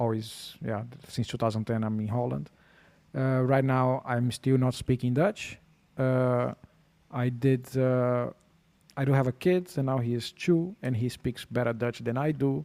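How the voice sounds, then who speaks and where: A man's dark, mellow tone at medium pitch, with a Portuguese accent, ordinary pitch variation and a fairly slow pace. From Brazil. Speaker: podcast guest. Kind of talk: casual chat.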